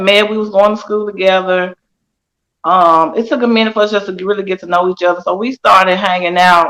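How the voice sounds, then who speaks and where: This is a woman with a medium pitch. She talks at a fairly quick pace. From US South, Nashville, Tennessee. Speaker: guest sharing life story. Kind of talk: testimony. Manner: quiet.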